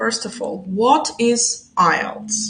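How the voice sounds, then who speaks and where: A woman speaks with fairly high pitch and ordinary pitch variation. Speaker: English teacher. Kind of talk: live stream lesson. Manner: slow, deliberate. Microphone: low quality recording.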